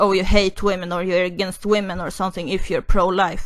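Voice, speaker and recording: Against a quiet background, a woman with a non-native accent talks at a medium pitch in a monotone, flat intonation. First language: not English. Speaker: YouTuber, commentary vlogger. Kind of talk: opinion monologue. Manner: halting, many fillers and restarts.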